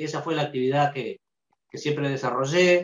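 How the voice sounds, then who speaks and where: A man with ordinary pitch variation, in audible room echo. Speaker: interviewee. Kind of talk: interview answer. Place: home room. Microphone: video call.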